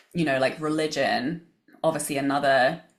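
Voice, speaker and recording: A woman with an English accent speaks in a very deep, low pitch, her intonation fairly even. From England. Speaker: business coach and author. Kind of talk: podcast interview.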